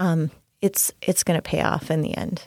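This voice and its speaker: Speaking in a normal speaking voice, a woman with an American accent talks at a fairly slow pace. The recording is very clean and dry, close, with no echo and a silent background. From Minnesota. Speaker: podcast co-host, mother and caregiver. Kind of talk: casual chat.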